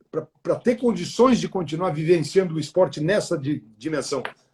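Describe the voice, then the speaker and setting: Pitched high, the man's voice moves with lively intonation. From southern Brazil, Porto Alegre. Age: 60s. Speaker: retired media executive. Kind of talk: interview on a live stream. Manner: halting, many repeated words.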